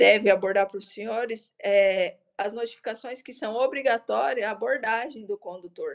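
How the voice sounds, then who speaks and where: A woman talks at a moderate pace in a medium pitch, with ordinary pitch variation. It is an ordinary speaking voice. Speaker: police corporal and traffic instructor. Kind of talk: lecture.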